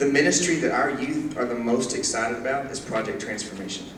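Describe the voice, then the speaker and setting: Audible room echo surrounds a man's voice. Noticeable background noise can be heard as well. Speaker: youth minister. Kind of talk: church presentation. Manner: fast.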